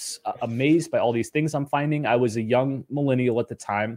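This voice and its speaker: In a very clean recording with a silent background and a dry, close sound with no echo, a man with an ordinary speaking voice and medium pitch talks at a moderate pace. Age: 30s. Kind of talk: interview.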